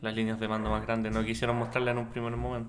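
Audible room echo hangs on this man's voice. He speaks at a very fast pace. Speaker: podcast co-host. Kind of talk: casual chat.

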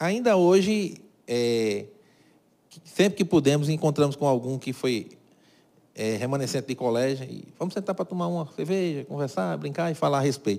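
Speaking at a moderate pace with long, frequent pauses, a man with a fairly high pitch, a dark, mellow tone and lively intonation is heard in a very clean recording with a silent background. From Brazil, Cajazeiras (Paraíba). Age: 50s. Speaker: carpentry business owner. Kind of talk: interview.

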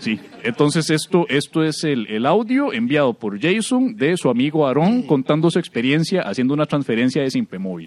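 Very wide pitch swings and big swings in loudness, at a fairly quick pace with hardly any pauses. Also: man, fairly high pitch for a man. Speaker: podcast co-host, comedian. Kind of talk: casual comedic chat.

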